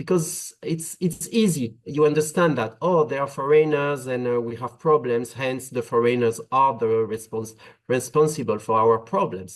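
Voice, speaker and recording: A man with a French accent, medium pitch, ordinary pitch variation, moderate pace and hardly any pauses. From France. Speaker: migration policy expert. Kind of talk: webinar panel talk. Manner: hesitant, many filler uhs.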